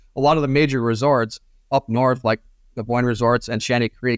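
This man has a normal speaking voice with an American accent at a medium pitch. The recording is dry and close, with no echo. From northern Michigan, US. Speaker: tourism media director. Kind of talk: casual interview.

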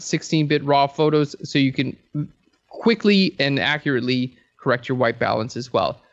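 A man with an ordinary speaking voice. His pitch sits fairly high and his pace is moderate. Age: 30s. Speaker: photography educator. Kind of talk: casual interview.

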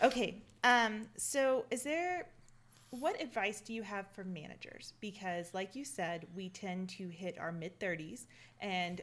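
With a Southern US accent, a woman speaks at a fairly slow pace. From US South. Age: 30s. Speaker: podcast host and reservoir engineer. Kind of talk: casual interview. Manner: animated.

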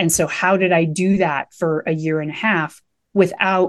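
Here is a woman with an American accent and a plain, everyday voice. Her pitch sits fairly low, over a quiet background. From Nebraska. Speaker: mindfulness coach and meditation teacher. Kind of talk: podcast interview.

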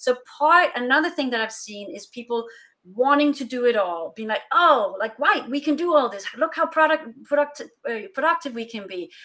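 A woman with a Danish accent speaks at a moderate pace in a raised, projected voice, high in pitch with a bright, sharp tone. Her intonation is lively and her loudness swings widely. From Denmark. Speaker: consultant for international remote teams. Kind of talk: interview.

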